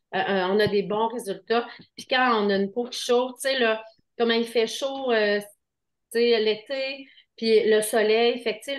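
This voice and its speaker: At a very slow pace, a woman with a Quebec accent talks in a fairly high pitch. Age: 50s. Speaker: skincare seller. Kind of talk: sales pitch. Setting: video call. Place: shop. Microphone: webcam.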